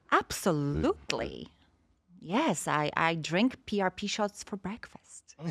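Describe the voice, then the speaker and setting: A woman with a Polish accent talks at a very slow pace with very wide pitch swings and vocal fry. The sound is dry and close, with no echo. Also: medium pitch for a woman. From Poland. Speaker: stem cell industry representative. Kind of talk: podcast interview.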